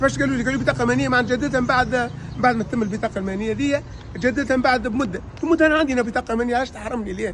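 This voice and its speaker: A man speaks at a very fast pace with an extremely high pitch and ordinary pitch variation. Noticeable background noise runs behind him. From Tunisia, Kairouan region (Hajeb El Ayoun). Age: 50s. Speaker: louage taxi driver. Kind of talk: interview testimony, complaint. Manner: halting, repetitive.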